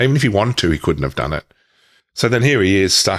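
A man with an Australian accent and a very deep, low pitch is heard on a very clean recording against a silent background. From Victoria, Australia (Myrtleford, Wodonga). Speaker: author and speaker on trauma healing. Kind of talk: interview testimony. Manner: halting.

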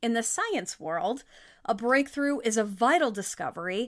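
A woman's high-pitched voice, bright and sharp in tone, animated, with lively intonation, on a very clean recording with a silent background. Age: 30s. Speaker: podcast host and life coach. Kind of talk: motivational monologue.

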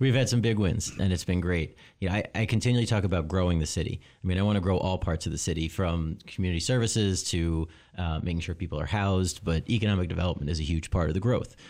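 In a very clean recording with a silent background, a man with a very deep, low pitch talks at a very fast pace with ordinary pitch variation. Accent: American. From US Northeast (Long Island, New York). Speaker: city mayor. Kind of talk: interview. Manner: halting, many fillers and repetitions.

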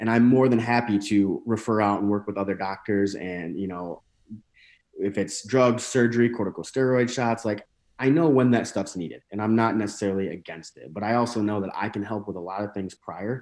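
A man with an American accent speaks at a fairly quick pace in a normal speaking voice, fairly low in pitch. His pitch varies in an ordinary way, and the background is quiet. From northern Michigan. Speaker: chiropractor and bodybuilder. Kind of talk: casual interview.

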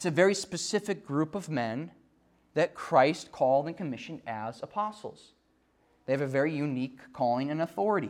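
Lively intonation at a fairly quick pace in an Upper Midwest accent, on a very clean recording with a silent background. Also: man, fairly high pitch for a man. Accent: Upper Midwest American. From West Central Minnesota. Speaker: preacher and evangelist. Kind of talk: sermon. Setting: church.

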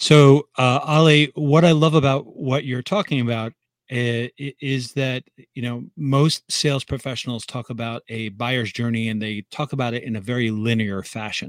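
The recording is very clean and the background silent. A man with an unremarkable speaking voice talks at a moderate speed and medium pitch, with ordinary pitch variation. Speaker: SEO consultant podcast host. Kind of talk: interview questions, casual chat.

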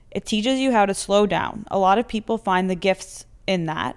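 A woman with a normal speaking voice, medium-pitched, with ordinary pitch variation and a fairly quick pace, on a very clean recording with a silent background. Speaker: podcast host.

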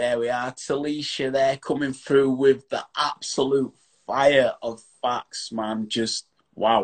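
A man speaks with a strong Yorkshire accent. His delivery is very slow and monotone, with flat intonation. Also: medium pitch for a man, dry, close sound with no echo. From Yorkshire, England. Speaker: online chat show host. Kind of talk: casual interview chat. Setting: video call.

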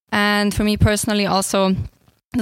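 Over a silent background, a woman talks at a very fast pace. The recording is very clean. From Switzerland. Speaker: master's student. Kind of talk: casual interview. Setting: student lounge recording.

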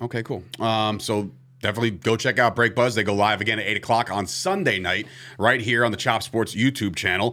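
On a very clean recording with a silent background, a man with an ordinary speaking voice talks fairly quickly at a medium pitch, his intonation fairly even. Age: 30s. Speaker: sports podcast host. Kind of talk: casual chat. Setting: studio.

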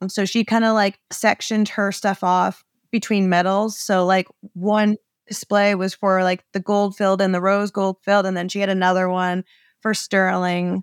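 With an American accent, a woman talks at a moderate pace and medium pitch in a monotone, flat intonation, captured as a dry, close sound with no echo on a very clean recording with a silent background. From Maine, US. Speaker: small business owner, sign designer. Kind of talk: interview, casual chat.

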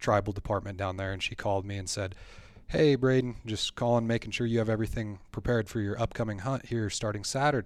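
On a very clean recording with a silent background, a man with an Upper Midwestern accent speaks at a fairly low pitch with fairly even intonation. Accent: Upper Midwestern American. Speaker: hunter and membership staff. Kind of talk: casual storytelling interview. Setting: studio. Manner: halting, repeats words.

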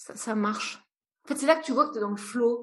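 A woman's voice is somewhat breathy. Her pitch variation is ordinary. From France, rural, partly raised in Brazil. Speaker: entrepreneur and psychologist. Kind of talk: interview conversation. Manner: hesitant, many fillers.

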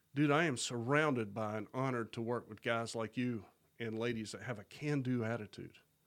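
A plain, everyday voice from a man, medium in pitch, with fairly even intonation at a moderate pace. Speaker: nonprofit founder. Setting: studio.

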